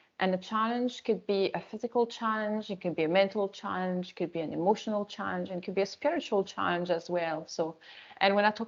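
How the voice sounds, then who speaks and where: A woman speaks at a very fast pace with hardly any pauses. Her intonation stays fairly even. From France. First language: French. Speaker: resilience coach and yoga teacher. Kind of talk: webinar talk.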